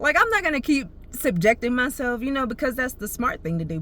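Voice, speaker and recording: Over noticeable background noise, a woman projects a raised voice at a high pitch, with very wide pitch swings and a fairly quick pace. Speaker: vlogger. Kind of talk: casual storytelling monologue. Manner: fast; animated.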